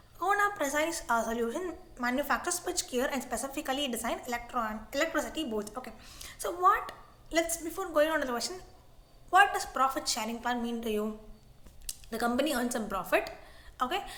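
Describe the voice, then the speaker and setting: A woman with a high pitch projects her voice with lively intonation. Long, frequent pauses break up her speech, and noticeable background noise is present. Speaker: online tutor. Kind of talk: tutorial. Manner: fast; halting.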